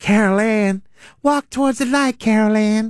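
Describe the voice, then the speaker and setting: In a very clean recording with a silent background, someone does a put-on character voice at a fairly high pitch and moderate pace. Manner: eerie, calling out.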